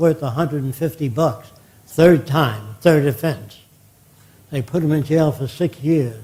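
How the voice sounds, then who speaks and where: A man's somewhat breathy, dark and mellow voice, fairly high in pitch, at a moderate pace with ordinary pitch variation. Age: 90s. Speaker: futurist lecturer. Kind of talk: lecture. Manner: conversational, anecdotal.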